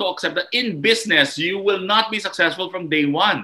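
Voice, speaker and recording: A man projects a raised, high-pitched voice with a bright, sharp tone at a moderate pace. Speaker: entrepreneur and motivational speaker. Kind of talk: podcast interview. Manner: emphatic.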